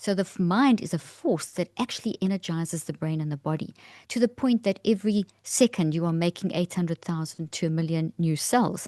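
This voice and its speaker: A woman with a South African accent speaks at a fairly quick pace in a fairly low pitch, her tone dark and mellow, with ordinary pitch variation and hardly any pauses, recorded in a dry, close space with no echo and a quiet background. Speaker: neuroscientist. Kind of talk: interview explanation.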